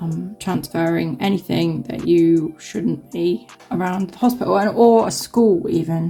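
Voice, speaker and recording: A woman talks at a fairly slow pace in a southern English accent. Music plays in the background. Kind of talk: casual nail tutorial talk to camera. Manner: chatty, rambling.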